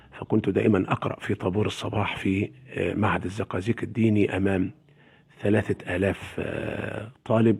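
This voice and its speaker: A man speaks in an ordinary speaking voice, fairly low in pitch. His intonation stays fairly even at a moderate pace. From Egypt, Sharqia (Zagazig area). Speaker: Quran reciter. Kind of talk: interview.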